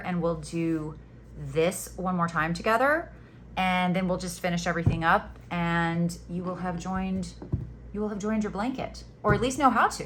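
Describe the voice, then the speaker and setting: A woman with a fairly low voice speaks at a moderate pace with ordinary pitch variation, and the room echo is audible. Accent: American. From Florida Panhandle, US South. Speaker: crochet teacher. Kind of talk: tutorial. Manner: casual, chatty.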